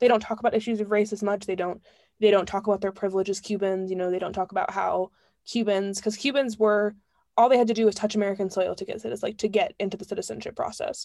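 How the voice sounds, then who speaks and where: The voice has a dark, mellow tone and fairly even intonation, delivered at a very fast pace on a very clean recording with a silent background. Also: woman, medium pitch for a woman. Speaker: podcast co-host. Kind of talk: casual chat. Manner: fast talker.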